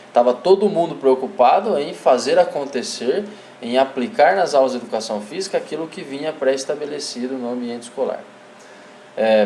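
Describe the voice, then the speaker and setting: Noticeable background noise sits behind a man speaking at a moderate pace. His pitch is fairly high, with lively intonation and big swings in loudness. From interior of São Paulo state, Brazil. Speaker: physical education teacher / course instructor. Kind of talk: online lecture. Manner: hesitant, many fillers.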